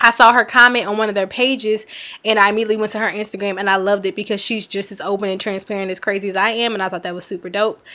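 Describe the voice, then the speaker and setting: A woman talks at a very fast pace and a medium pitch. Her tone is bright, sharp and animated. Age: 20s. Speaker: podcast host. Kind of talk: casual chat.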